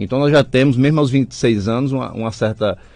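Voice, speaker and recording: The recording sounds dry, with no echo. A man speaks fairly quickly. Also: quiet background. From Mossoró, Rio Grande do Norte, Brazil. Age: 20s. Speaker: political candidate. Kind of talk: political radio interview. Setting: radio studio. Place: studio. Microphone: studio mic.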